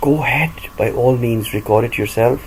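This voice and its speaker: A man talks at a medium pitch. He has a Pakistani accent. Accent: Pakistani-accented English, self-acquired. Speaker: audiobook reader and vlogger. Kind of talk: monologue. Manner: animated.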